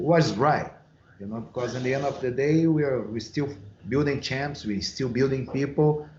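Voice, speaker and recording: A man with a Brazilian Portuguese accent, medium-pitched and moderately paced, amid audible room echo. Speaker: MMA and boxing coach. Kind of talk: podcast interview.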